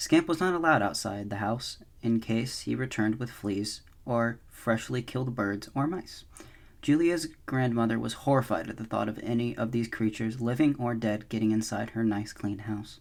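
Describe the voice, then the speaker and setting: A man at a moderate pace, medium in pitch, with ordinary pitch variation. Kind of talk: soft-spoken ASMR audiobook reading. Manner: soft-spoken.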